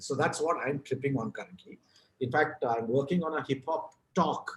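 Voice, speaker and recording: With a Kannada accent, a man talks at a moderate pace in a fairly high pitch, somewhat breathy, with ordinary pitch variation. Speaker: author and advertising writer. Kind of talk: podcast interview.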